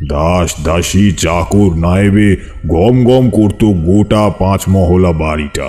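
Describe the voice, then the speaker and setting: A man talks in a put-on character voice with a very deep, low pitch. His pace is very slow. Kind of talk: rural ghost-story telling. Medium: audio drama. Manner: unhurried, confiding, addressing listeners directly.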